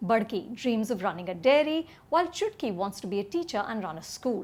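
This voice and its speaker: At a moderate pace, a woman with a fairly high, somewhat breathy voice speaks with very wide pitch swings. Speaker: film critic. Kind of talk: movie review to camera.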